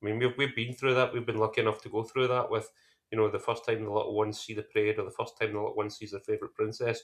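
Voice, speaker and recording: A very fast pace over a quiet background. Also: man. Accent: strong Scottish. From Ayrshire, west of Scotland. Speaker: podcast co-host, theme park trip planner. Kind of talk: casual chat.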